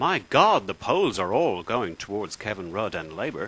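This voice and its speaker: With an Irish accent, a man speaks at a moderate pace, his pitch swinging very widely. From Ireland. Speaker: political video blogger. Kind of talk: political rant. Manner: animated.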